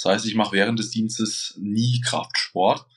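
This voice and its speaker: The man's pitch is medium and his intonation is monotone and flat. He talks at a moderate pace. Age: 30s. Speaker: bodybuilder and competition judge. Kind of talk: casual interview.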